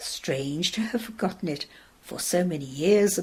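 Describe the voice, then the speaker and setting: Using a put-on character voice, a soft-spoken woman talks at a moderate pace and medium pitch. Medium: read story. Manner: calm, grave, unhurried.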